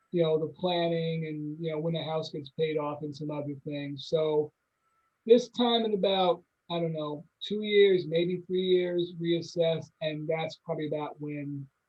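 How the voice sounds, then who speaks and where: At a fairly slow pace, a man speaks in a fairly high voice. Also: fairly even intonation. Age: 60s. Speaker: community college educator and administrator. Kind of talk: casual chat. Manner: halting.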